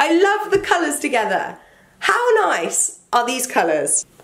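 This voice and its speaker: Animated and speaking with a British accent, a woman swings her pitch very widely. Noticeable background noise runs throughout. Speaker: fashion YouTuber. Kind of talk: casual vlog talk. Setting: home, indoors with rain outside.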